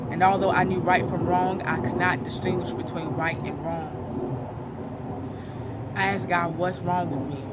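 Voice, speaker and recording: Fairly slow speech with hardly any pauses and very wide pitch swings, over noticeable background noise. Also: woman, very deep, low pitch for a woman. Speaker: spoken word poet. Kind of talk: spoken word poetry performance.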